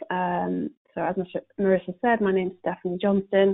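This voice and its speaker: Speaking at a moderate pace, a woman with a British accent talks at a medium pitch. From UK. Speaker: corporate sustainability panelist. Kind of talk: webinar presentation. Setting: conference call. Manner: hesitant with many fillers.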